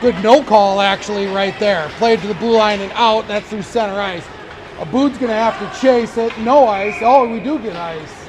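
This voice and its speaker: A man with an American accent talks at a moderate pace in a high pitch, with ordinary pitch variation and big swings in loudness. Noticeable background noise and audible room echo fill the recording. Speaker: amateur play-by-play announcer. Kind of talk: live commentary. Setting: ice arena.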